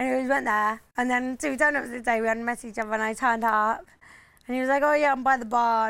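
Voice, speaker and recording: A woman with a southern English accent at a very fast pace, fairly high in pitch with fairly even intonation, in a very clean recording with a silent background. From England, Oxford. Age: 20s. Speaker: reality TV contestant. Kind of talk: casual chat. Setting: Ibiza.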